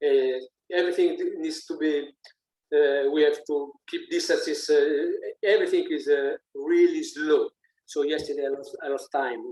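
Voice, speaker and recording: A man with an Italian accent at a moderate pace. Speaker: musician. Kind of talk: interview. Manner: halting, many fillers and repeats.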